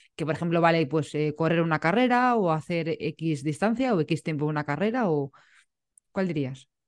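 Over a quiet background, a woman uses a plain, everyday voice, fairly low in pitch, with lively intonation at a moderate pace. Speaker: podcast host. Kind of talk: casual interview chat.

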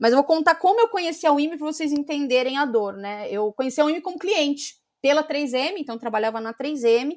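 In a very clean recording with a silent background, a woman with a high pitch and lively intonation talks at a fairly quick pace with hardly any pauses. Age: 30s. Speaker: marketing and sales executive. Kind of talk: interview.

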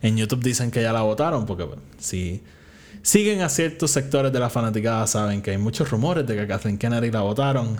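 A man of medium pitch talks at a fairly quick pace with lively intonation and big swings in loudness. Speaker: podcast host. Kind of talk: casual solo commentary.

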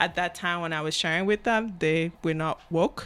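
At a moderate pace, a woman with a Cameroonian accent speaks at a fairly low pitch with ordinary pitch variation. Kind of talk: casual interview chat.

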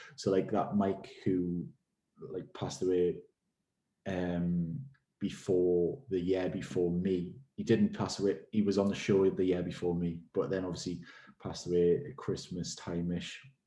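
In a Geordie accent, a man with a very deep, low pitch and a dark, mellow tone speaks at a fairly slow pace with fairly even intonation. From Newcastle, England. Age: 20s. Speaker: personal trainer and gym owner. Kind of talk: casual interview chat.

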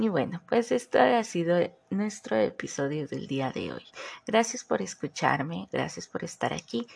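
This woman's speech shows vocal fry and very wide pitch swings. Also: fairly low pitch for a woman, fairly slow pace. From southern Mexico. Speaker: podcast host. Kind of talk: casual solo podcast monologue. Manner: animated, laughs often.

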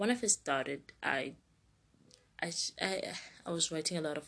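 A low-pitched woman's voice with vocal fry and a slightly husky edge.

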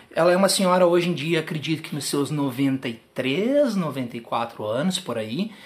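A man talks at a fairly slow pace and fairly high pitch, with hardly any pauses. He has an ordinary speaking voice. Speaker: podcast host, tap dancer and teacher. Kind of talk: casual interview. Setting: own apartment.

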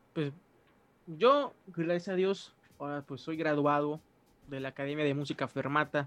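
Pitched fairly high, a man speaks at a moderate pace with fairly even intonation and long, frequent pauses. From Mexico, Mérida, Yucatán. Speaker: musician and pastor. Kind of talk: casual interview.

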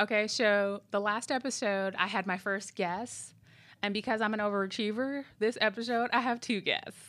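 In an American accent, a woman talks at a moderate pace in a fairly high voice with very even loudness, on a very clean recording with a silent background. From US Midwest. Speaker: podcast host. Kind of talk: casual chat. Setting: studio. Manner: animated.

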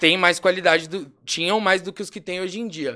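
A man projects a raised, high-pitched voice at a moderate pace. His tone is bright and sharp. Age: 20s. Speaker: rapper. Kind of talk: casual chat.

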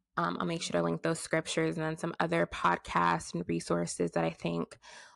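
A woman's voice, dry and close with no echo. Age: 20s. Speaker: podcast host. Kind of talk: solo faith-based talk. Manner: casual and conversational.

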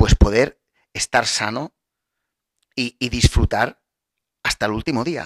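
A man speaks in an animated tone at a medium pitch with ordinary pitch variation. The sound is dry and close, with no echo. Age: 40s. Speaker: podcast host, wellness coach. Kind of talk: motivational talk. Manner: halting, many fillers and repetitions.

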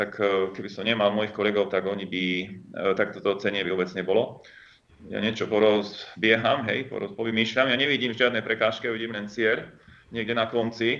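A man with a plain, everyday voice, fairly low in pitch, with fairly even intonation and a fairly quick pace. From northern Slovakia. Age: 50s. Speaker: company founder and entrepreneur. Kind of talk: interview. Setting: phone or remote call.

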